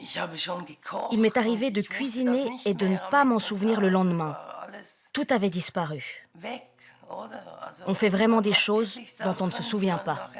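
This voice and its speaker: A woman at a medium pitch, very slow with long, frequent pauses and ordinary pitch variation, over noticeable background noise. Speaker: patient in a drug treatment program. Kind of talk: interview answer.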